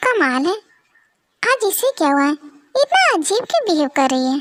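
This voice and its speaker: Using a squeaky put-on character voice, a woman speaks at an extremely high pitch with very wide pitch swings, very even loudness and a moderate pace. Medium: audio drama. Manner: calm, authoritative.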